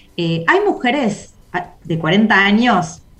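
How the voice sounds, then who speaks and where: Background noise is noticeable. A woman speaks at medium pitch. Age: 40s. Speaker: community organizer. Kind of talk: casual chat.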